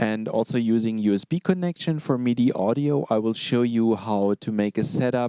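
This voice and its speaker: A man talks at a moderate pace with lively intonation. His tone is dark and mellow, and the sound is dry and close with no echo. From Germany, Berlin. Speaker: product demonstrator, keyboard specialist. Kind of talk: online product presentation. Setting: live stream broadcast. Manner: long phrases, hesitant fillers.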